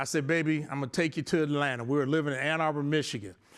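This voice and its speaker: Against a quiet background, a man speaks with an American accent. His pitch is fairly high and his intonation fairly even. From US Midwest, south side of Chicago. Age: 60s. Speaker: architect and business owner, abuse survivor speaker. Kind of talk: motivational talk.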